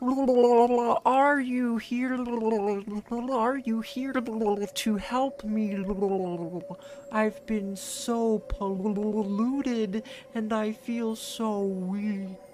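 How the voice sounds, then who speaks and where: Over clear background noise, a put-on character voice with a fairly high pitch moves at a very slow pace. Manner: weak, pleading.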